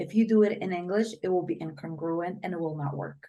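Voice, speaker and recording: Speaking very fast, a woman with a fairly low pitch keeps her intonation fairly even. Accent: Polish. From Poland. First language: Polish. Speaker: brain coach. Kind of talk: interview.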